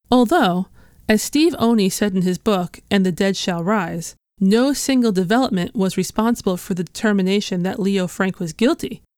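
A woman's ordinary speaking voice with ordinary pitch variation. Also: medium pitch for a woman, moderate pace. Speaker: podcast host. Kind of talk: true-crime historical narration, scripted and read in measured storytelling. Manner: measured, serious, steady.

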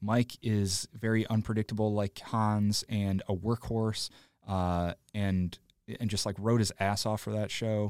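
In an American accent, a man talks at a fairly slow pace with a fairly low pitch and monotone, flat intonation, recorded very cleanly against a silent background with a dry, close sound and no echo. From Illinois, Joliet area. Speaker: comedic actor and improviser. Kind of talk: casual interview chat.

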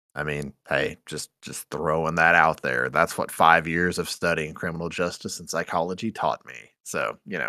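A man with a very deep, low voice, vocal fry and a bright, sharp tone speaks at a moderate pace with hardly any pauses and fairly even intonation, though his loudness swings widely. The recording is very clean, with a silent background and a dry, close sound with no echo. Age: 20s. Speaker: podcaster. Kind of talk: casual chat.

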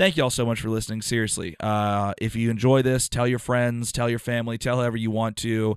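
A man's medium-pitched voice, an unremarkable speaking voice, at a fairly quick pace with fairly even intonation over a quiet background. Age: 30s. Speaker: podcast co-host and stand-up comedian. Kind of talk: casual chat.

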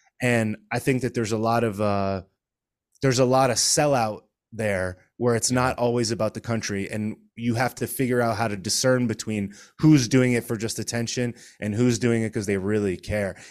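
A man with an American accent speaks at medium pitch and a moderate pace, using an ordinary speaking voice. His intonation is fairly even, and the recording is very clean with a silent background. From Connecticut. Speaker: political commentator and stand-up comedian. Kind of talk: casual chat.

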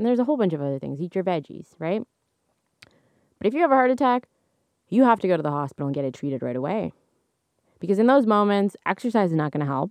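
A woman with a medium pitch talks in an animated tone at a very fast pace, breaking with long, frequent pauses and very wide pitch swings, in a dry, close sound with no echo. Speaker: astrology podcast host. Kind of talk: casual solo monologue. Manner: varied tones, modulating voice; animated, laughs often.

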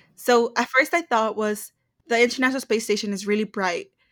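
A woman speaks at a moderate pace in fairly high pitch, with fairly even intonation and an unremarkable speaking voice. The recording is very clean, with a silent background. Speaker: podcast co-host. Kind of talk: casual chat between friends. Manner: chatty, laughing.

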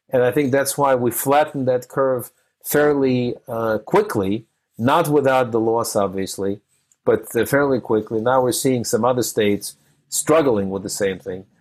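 Man with an American accent, medium pitch and ordinary pitch variation, at a fairly slow pace. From a formerly communist country, now US-based. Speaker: podcast host interviewing entrepreneurs. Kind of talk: interview. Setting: remote call. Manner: frequent fillers and hesitations.

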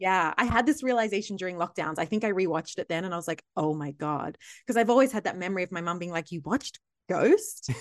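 A woman at a very fast pace and medium pitch with lively intonation, dry and close with no echo, against a quiet background. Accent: Australian. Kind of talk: casual chat.

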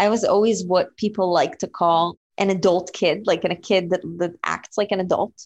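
A woman with an Israeli accent talks at a moderate pace with hardly any pauses, in a monotone, flat intonation at medium pitch, with a dry, close sound with no echo. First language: Hebrew. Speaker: entrepreneur. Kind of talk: interview.

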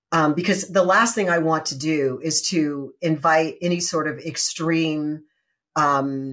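This woman has a fairly low voice with ordinary pitch variation. It is an ordinary speaking voice. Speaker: podcast host. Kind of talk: interview intro and conversation. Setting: remote video call.

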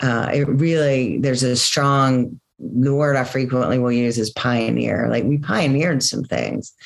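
A woman's very deep, low voice with very even loudness and hardly any pauses. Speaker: company co-founder and sustainability business leader. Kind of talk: casual interview conversation.

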